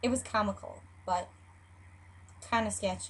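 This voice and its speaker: A woman with a Chicago accent speaks at a moderate pace. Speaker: YouTube vlogger. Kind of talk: casual talk to camera.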